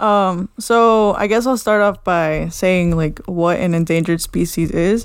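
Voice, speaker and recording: A woman in a normal speaking voice talks at a fairly slow pace and medium pitch, with ordinary pitch variation, very even loudness and hardly any pauses. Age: 20s. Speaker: podcast co-host. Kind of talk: casual chat.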